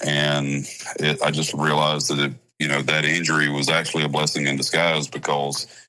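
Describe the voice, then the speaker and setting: In a Southern US accent, a man speaks at a moderate pace with a very deep, low pitch. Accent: Southern American. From South Carolina. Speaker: country music singer. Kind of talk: interview answer.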